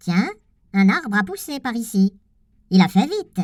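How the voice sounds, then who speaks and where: In a put-on character voice, the speaker talks at a moderate pace with a fairly high pitch. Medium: read story. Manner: cheeky, mocking.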